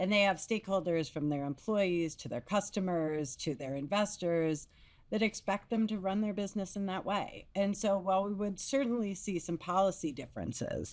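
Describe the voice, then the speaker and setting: On a very clean recording with a silent background, a woman with a plain, everyday voice speaks at medium pitch and a moderate pace, with ordinary pitch variation and hardly any pauses. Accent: American. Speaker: business executive. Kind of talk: podcast discussion.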